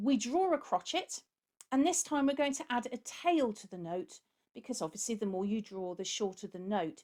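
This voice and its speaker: Speaking in a British accent, a woman has a fairly high pitch with very wide pitch swings. Her loudness swings widely, and her pace is moderate. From UK. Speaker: music teacher. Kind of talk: tutorial.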